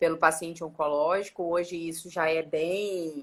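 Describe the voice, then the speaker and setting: A woman's bright, sharp tone with a Minas Gerais accent and fairly low pitch. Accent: Minas Gerais accent, still rooted. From Minas Gerais, Brazil (Belo Horizonte). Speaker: dentist. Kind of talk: interview on a live stream. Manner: halting, with many false starts.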